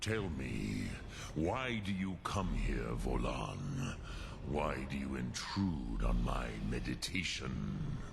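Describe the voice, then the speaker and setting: A man uses a put-on character voice at a very slow pace. Loud background noise runs behind him. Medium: video game. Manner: slow, measured, solemn.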